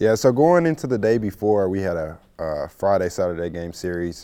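In a very clean recording with a silent background, a man speaks at a fairly slow pace. His voice is very deep and low, with a dark, mellow tone. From Missouri, St. Louis. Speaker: college baseball player. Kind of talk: casual interview.

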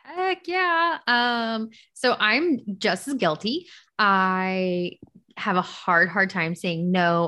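Speaking very slowly with lively intonation, this bright, sharp-toned voice comes through against a quiet background. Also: woman. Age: 20s. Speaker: podcast co-host. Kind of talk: casual chat.

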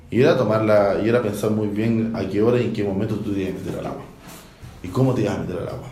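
Over noticeable background noise and audible room echo, a man with a fairly low pitch talks at a very fast pace with fairly even intonation. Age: 30s. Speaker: explorer and sea kayaker. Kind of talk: research interview.

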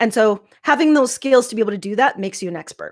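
A plain, everyday voice with lively intonation. The recording is very clean, with a silent background. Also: woman. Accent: Canadian. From Saskatchewan, Canada. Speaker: life coach. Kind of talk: interview.

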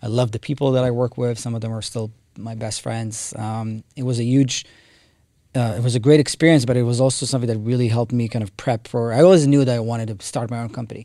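A man with an Israeli accent at a very fast pace, dark, mellow tone, fairly even intonation, on a very clean recording with a silent background. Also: medium pitch for a man. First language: Hebrew. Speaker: tech company co-founder. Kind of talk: interview.

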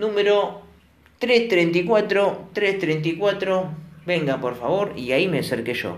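A man with a Rioplatense accent speaks in a high pitch. Audible echo fills the room around him. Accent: Argentine Rioplatense Spanish. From Argentina, La Plata. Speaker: storytelling vlogger. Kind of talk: storytelling monologue; listener shout-outs. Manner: casual.

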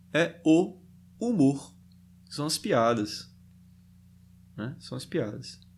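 At a very slow pace with long, frequent pauses, a man's fairly high voice carries vocal fry, very wide pitch swings and big swings in loudness. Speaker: podcast host reading a book aloud. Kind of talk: reading aloud with commentary. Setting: livestream on Instagram. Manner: hesitant, many fillers.

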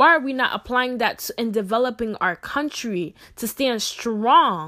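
A woman's high, bright, sharp voice at a moderate pace, on a very clean recording with a silent background. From Ghana, raised in US. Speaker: podcaster. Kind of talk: personal monologue. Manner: animated.

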